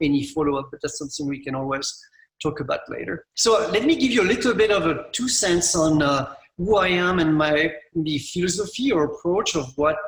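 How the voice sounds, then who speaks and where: Talking at a very fast pace, a man with a French accent uses a fairly high pitch. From France. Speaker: landscape architect. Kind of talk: conference presentation. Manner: halting.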